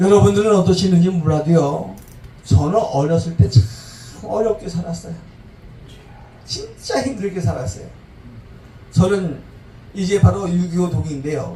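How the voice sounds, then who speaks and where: Speaking with lively intonation, a man with a high voice takes long, frequent pauses at a moderate pace. Room echo is audible. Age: 70s. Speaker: pastor. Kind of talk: sermon. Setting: church service.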